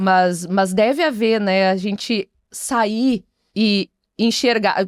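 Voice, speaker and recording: In a strong gaúcho accent, a woman speaks at a very slow pace with very even loudness. The recording is very clean, with a silent background and a dry, close sound with no echo. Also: medium pitch for a woman, ordinary pitch variation. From Bagé, Rio Grande do Sul, Brazil. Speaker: traditionalist culture figure. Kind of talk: podcast interview.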